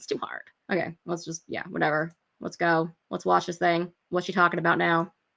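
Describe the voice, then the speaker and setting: A woman speaks at a fairly low pitch with vocal fry. Her tone is bright and sharp. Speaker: video reaction commentator. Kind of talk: casual reaction commentary. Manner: fast; animated.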